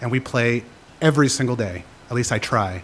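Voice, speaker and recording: Speaking at a medium pitch, a man keeps a moderate pace. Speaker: public commenter, teacher. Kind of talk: public comment at council meeting. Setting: city council chamber. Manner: unprepared, halting.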